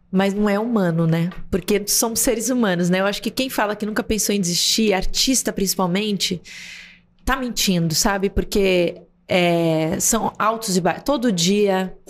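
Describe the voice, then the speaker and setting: A woman speaks at a medium pitch and a moderate pace. Her loudness stays very even, and her pitch varies in an ordinary way. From Brazil. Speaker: actress and TV presenter; podcast guest, actress. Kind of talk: interview conversation. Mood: reflective, warm. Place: studio. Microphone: studio mic.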